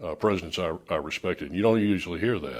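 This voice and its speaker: Recorded very cleanly against a silent background, a man with an American accent talks at a very fast pace in a fairly low pitch. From Miami, Florida. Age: 60s. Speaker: radio host. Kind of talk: casual chat.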